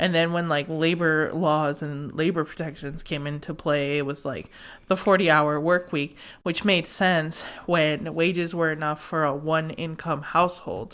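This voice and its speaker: Her voice is very deep and low for a woman. The woman keeps a moderate pace with fairly even intonation. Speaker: podcast host, intuitive tarot reader. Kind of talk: casual chat. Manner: stumbling over words.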